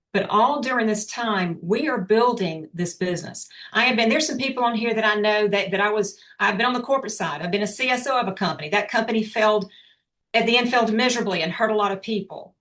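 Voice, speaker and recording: A woman at a fairly high pitch, at a very fast pace, with ordinary pitch variation and music in the background. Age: 60s. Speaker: motivational speaker, business owner. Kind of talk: motivational talk on video call. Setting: video call.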